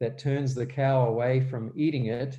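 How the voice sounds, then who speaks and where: A man with a New Zealand accent speaks at a fairly slow pace and a medium pitch. His tone is dark and mellow, and somewhat breathy. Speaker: guest speaker on health and gardening. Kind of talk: church presentation. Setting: live-streamed church event. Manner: hesitant, many fillers.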